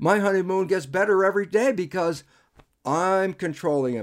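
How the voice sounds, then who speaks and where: A man with an American accent, high-pitched, with ordinary pitch variation at a moderate pace, in a very clean recording with a silent background. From United States. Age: 70s. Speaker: biologist and author. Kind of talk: interview conversation. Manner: animated.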